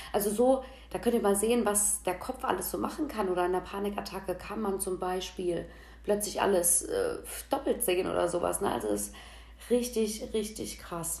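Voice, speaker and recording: The pace is moderate. Audible room echo colors the sound. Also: woman. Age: 30s. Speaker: podcast host. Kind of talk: casual monologue. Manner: casual, chatty.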